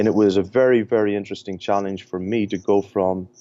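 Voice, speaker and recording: A man with an Irish accent speaks at a fairly quick pace. His pitch is very deep and low. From Ireland. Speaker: sports performance director. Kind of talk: podcast interview. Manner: hesitant, many fillers.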